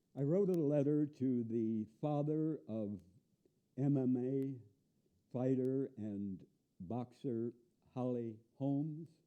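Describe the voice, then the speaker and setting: A man with an American accent speaks at a very slow pace. Long, frequent pauses break up his speech. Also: medium pitch for a man, ordinary pitch variation. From US Midwest, northern Illinois. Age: 70s. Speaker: activist. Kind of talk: monologue. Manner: emphatic.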